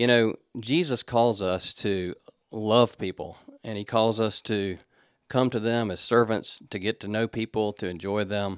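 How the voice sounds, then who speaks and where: A man's plain, everyday voice, fairly low in pitch, with fairly even intonation at a fairly slow pace, in a dry, close sound with no echo. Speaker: pastor. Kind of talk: devotional reflection.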